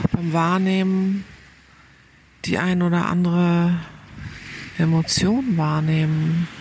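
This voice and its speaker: A woman's fairly low-pitched voice, calm and soothing in tone with fairly even intonation, over noticeable background noise. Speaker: meditation guide. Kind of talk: guided meditation. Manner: slow, calm, soothing, with gentle pauses; soft-spoken.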